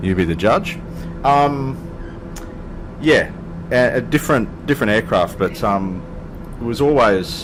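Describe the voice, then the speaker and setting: A man's moderately paced speech comes with noticeable background noise behind it. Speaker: flight sim video creator. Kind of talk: casual gameplay commentary. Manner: hesitant, casual, many fillers.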